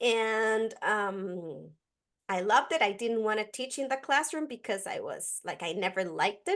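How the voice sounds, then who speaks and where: A woman with a Costa Rican accent, fairly high in pitch, at a moderate pace with lively intonation, against a quiet background. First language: Spanish. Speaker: educator. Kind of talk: podcast interview.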